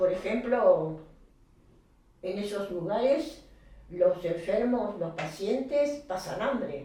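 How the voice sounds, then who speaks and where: With lively intonation and medium pitch, a woman speaks very slowly, taking long, frequent pauses amid audible room echo. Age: 90s. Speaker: interviewee, grandmother of deceased patient. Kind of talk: interview. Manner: halting.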